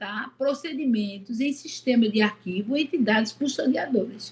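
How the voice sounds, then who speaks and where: The woman speaking has a high voice. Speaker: course instructor. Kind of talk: lecture.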